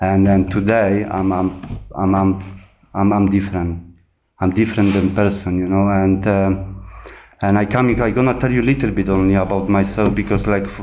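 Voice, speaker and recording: A man with a Polish accent talks at a moderate pace and a fairly low pitch. His intonation is monotone and flat, and the room echo is audible. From Poland. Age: 30s. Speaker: recovering addict sharing at a meeting. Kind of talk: testimony. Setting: meeting room with audience. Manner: halting, many repetitions and fillers.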